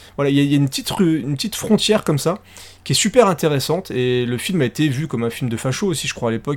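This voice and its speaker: A man at a very fast pace, fairly high in pitch, with lively intonation and an animated tone. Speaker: podcast co-host. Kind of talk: casual chat.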